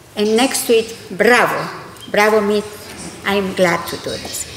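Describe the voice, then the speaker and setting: Through audible room echo and noticeable background noise, a woman talks at a fairly slow pace and a fairly high pitch. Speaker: scientist, committee president. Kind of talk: conference presentation.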